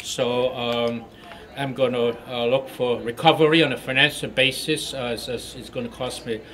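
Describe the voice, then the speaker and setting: Amid noticeable background noise, a man speaks at a moderate pace in a monotone, flat intonation, with big swings in loudness. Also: medium pitch for a man. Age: 60s. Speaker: ousted school board member. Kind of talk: press interview. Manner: halting, many fillers.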